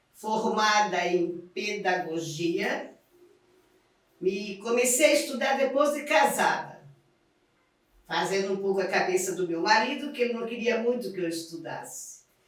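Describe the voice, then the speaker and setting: A woman's fairly slow speech with long, frequent pauses and audible room echo. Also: medium pitch for a woman, lively intonation. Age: 70s. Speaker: retired teacher. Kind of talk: documentary interview.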